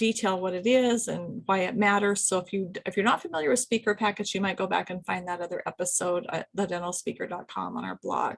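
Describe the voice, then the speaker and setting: Her intonation fairly even, a woman speaks at a fairly quick pace in a medium pitch. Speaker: business consultant and podcast host. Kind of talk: solo video podcast, advice talk. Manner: fast; casual, many fillers.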